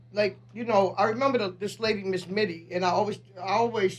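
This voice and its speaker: A woman talks at a very fast pace with vocal fry and ordinary pitch variation. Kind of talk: radio interview. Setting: radio studio.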